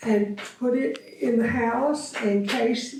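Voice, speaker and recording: Noticeable background noise sits behind a woman speaking with a Texan accent. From Austin, Texas. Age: old. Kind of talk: interview answer. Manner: hesitant, reminiscing.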